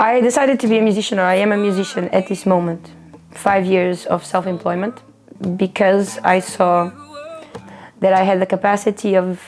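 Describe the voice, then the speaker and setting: A woman's medium-pitched voice with a Portuguese accent, moderate pace, very even loudness and ordinary pitch variation, music in the background. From Portugal. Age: 30s. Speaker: street musician. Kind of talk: documentary interview.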